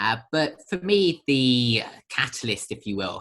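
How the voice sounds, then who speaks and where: Bright and sharp in tone, a man with a British accent speaks at a fairly slow pace with lively intonation. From Britain. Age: young. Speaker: social entrepreneur, charity founder. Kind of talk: podcast interview. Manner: hesitant, many fillers.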